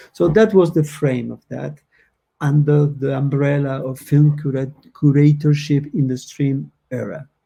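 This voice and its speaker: Somewhat breathy and dark, mellow in tone, a man's fairly high voice moves at a fairly slow pace with fairly even intonation. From Argentina. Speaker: moderator. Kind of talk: panel discussion; reading aloud.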